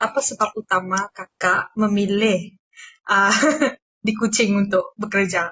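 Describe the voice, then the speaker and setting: This woman talks at a fairly slow pace in a monotone with flat intonation. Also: medium pitch for a woman. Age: 20s. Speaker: university student interviewer. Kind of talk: interview. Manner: halting, many fillers.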